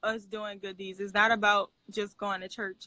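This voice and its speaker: With a New Orleans accent and a bright, sharp tone, a woman talks at a moderate pace in a dry, close sound with no echo. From New Orleans, US South. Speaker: missionary and public speaker. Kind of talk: interview testimony. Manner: casual.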